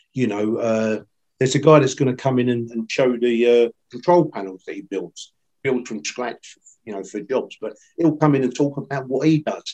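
With a dark, mellow tone at a medium pitch, a man talks at a moderate pace, his pitch varying in an ordinary way and his loudness swinging widely. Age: 60s. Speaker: electrical industry veteran and trainer. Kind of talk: casual interview. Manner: rambling, repeats words.

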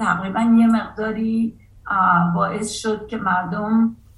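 Background noise is noticeable throughout. The woman's fairly high voice keeps a fairly even intonation. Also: long, frequent pauses. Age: 50s. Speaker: artist and college professor. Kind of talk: interview.

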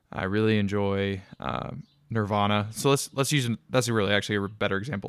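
Here is a normal speaking voice with ordinary pitch variation. It comes through a very clean recording with a silent background. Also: man. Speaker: podcast host. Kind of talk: solo podcast monologue.

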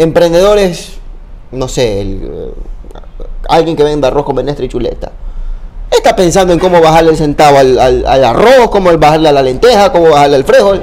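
A man talking at a moderate pace with long, frequent pauses amid noticeable background noise. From Ecuador, Babahoyo (Los Ríos). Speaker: sports journalist and content creator. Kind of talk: casual interview chat.

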